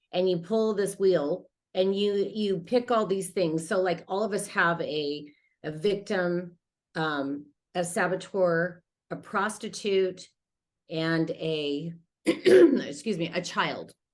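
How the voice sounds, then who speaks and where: A woman with an American accent, very slow pace, and ordinary pitch variation. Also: medium pitch for a woman. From Utah, US. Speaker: life coach. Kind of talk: interview testimony.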